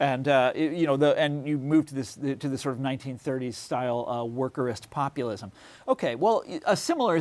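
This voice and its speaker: Speaking fairly quickly with an American accent, a man uses a fairly high pitch and ordinary pitch variation. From Kansas. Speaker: author. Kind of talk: interview. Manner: halting.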